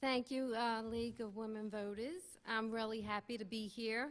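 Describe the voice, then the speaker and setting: A woman with a slight Brooklyn accent speaks at a fairly slow pace, her fairly high voice keeping fairly even intonation. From Brooklyn, New York. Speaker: Republican congressional candidate. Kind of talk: candidate forum speech.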